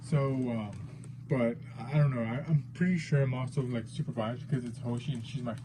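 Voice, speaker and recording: This man has a dark, mellow tone, somewhat breathy, with fairly even intonation and a fairly quick pace. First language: not English. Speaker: figure collector YouTuber. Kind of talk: unboxing video. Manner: hesitant, many fillers.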